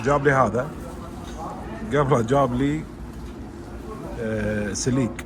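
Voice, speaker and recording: Speaking at a very slow pace with long, frequent pauses, a man at a medium pitch keeps a fairly even intonation amid audible room echo and noticeable background noise. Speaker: travel vlogger. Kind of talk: casual vlog. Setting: restaurant. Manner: quiet, holding voice down.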